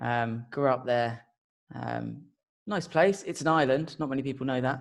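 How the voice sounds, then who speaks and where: With a southern English accent, a man speaks at a moderate pace and medium pitch with ordinary pitch variation. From southern England (Portsmouth). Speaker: marketing automation consultant. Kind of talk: podcast interview.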